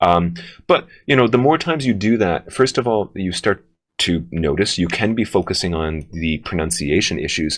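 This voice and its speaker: The man's pitch is very deep and low, with lively intonation. He speaks at a moderate pace, and the background is quiet. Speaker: English teacher running a test-prep workshop. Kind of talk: workshop presentation.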